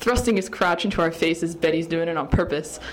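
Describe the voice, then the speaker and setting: A woman with an unremarkable speaking voice at a moderate pace. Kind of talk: fan-written poem read aloud. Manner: breathless, excited, gushing list.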